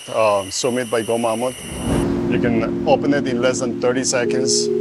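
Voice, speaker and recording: A man talks at a moderate pace. Clear music plays in the background, and the sound is dry with no echo. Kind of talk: product demonstration. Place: garage.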